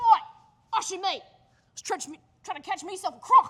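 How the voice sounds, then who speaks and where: Put-on character voice from a woman, extremely high-pitched, moderately paced. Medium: stage play.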